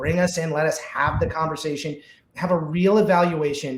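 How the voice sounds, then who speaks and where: Audible room echo around a man speaking in an American accent. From US South, Georgia. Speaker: security vendor specialist. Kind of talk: live webinar panel discussion. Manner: fast; animated.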